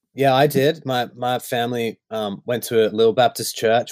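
The sound is dry and close with no echo, and the intonation stays fairly even. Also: man. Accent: Australian. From Australia. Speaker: worship songwriter. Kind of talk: casual chat. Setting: video call.

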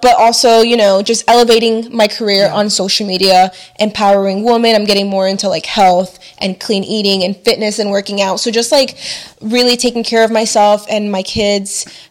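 A woman with an American accent, fairly high pitch, ordinary pitch variation and a fairly quick pace over noticeable background noise. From Chile, raised in the US. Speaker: YouTuber and mother of three. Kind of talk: casual chat.

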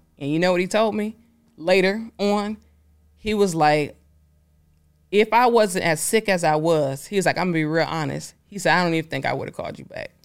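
A woman with an American accent, medium pitch, ordinary pitch variation and a moderate pace, with long, frequent pauses in a very clean recording against a silent background. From Detroit, US. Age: 30s. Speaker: entrepreneur, company founder. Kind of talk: interview conversation. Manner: animated.

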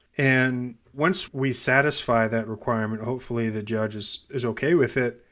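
A man with an unremarkable speaking voice and an American accent, medium pitch, moderate pace, on a very clean recording with a silent background. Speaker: gerrymandering scientist. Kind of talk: interview discussion.

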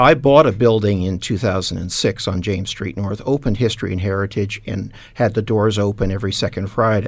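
An ordinary speaking voice from a man, fairly low-pitched and fairly quick, with hardly any pauses and ordinary pitch variation, on a very clean recording with a silent background. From Canada, east end of Hamilton, Ontario. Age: 60s. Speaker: retired businessman, heritage shop owner. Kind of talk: radio panel discussion. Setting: radio studio.

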